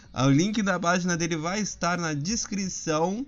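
A man speaks at a fairly slow pace. His tone is animated. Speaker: podcast host. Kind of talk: casual monologue.

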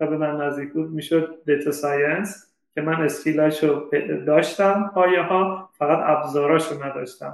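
The room echo is audible as a man talks at a moderate pace. His intonation stays fairly even. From Iran, Shiraz. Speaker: data scientist. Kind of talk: interview.

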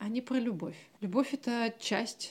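Somewhat breathy speech with fairly even intonation at a fairly slow pace, in a very clean recording with a silent background. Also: woman. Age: 30s. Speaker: psychologist, podcast co-host. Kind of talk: casual chat.

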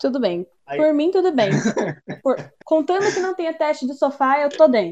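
A woman's high-pitched voice with very wide swings in pitch. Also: moderate pace. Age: 20s. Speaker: actress and musician, new podcast co-host. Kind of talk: casual chat.

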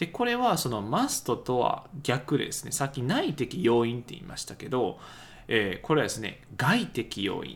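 Vocal fry runs through a man's voice at a fairly slow pace. His pitch swings very widely. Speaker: English teacher podcaster. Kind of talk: tutorial. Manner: hesitant with many fillers.

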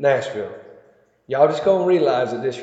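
A man speaks with a Southern US accent amid audible room echo. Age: 40s. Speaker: podcaster. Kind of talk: casual monologue. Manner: rambling, halting.

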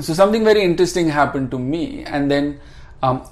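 A male voice with audible room echo. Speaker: restaurateur and spiritual seeker. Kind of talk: casual interview chat. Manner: calm.

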